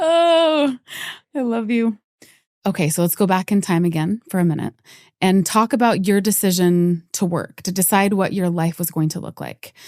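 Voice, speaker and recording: With an ordinary speaking voice, a woman talks at a medium pitch and a moderate pace, using lively intonation. The sound is dry and close with no echo, on a very clean recording with a silent background. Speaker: podcast host. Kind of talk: interview question.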